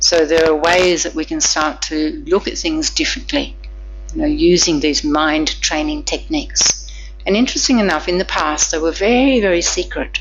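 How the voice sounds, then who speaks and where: Noticeable background noise and audible room echo behind a woman talking at a moderate pace. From Australia. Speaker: Buddhist nun teacher. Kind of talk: dharma lecture with interpretation.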